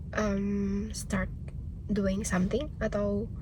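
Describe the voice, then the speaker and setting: A woman speaks over noticeable background noise. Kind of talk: casual self-help podcast talk to camera.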